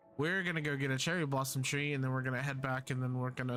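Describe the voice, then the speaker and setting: Bright and sharp in tone, a man's medium-pitched voice comes through a very clean recording with a silent background. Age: 20s. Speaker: gaming streamer. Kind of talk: casual live-stream chat.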